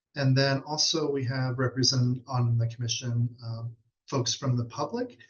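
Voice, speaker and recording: A man's somewhat breathy, medium-pitched voice with flat, monotone intonation. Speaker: state fatherhood commission official. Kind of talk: webinar presentation. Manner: fast.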